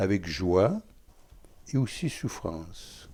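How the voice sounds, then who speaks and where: A man talks in a fairly low, dark, mellow voice with lively intonation. The recording is very clean, with a silent background. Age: 80s+. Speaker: Franciscan friar. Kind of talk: interview. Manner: halting.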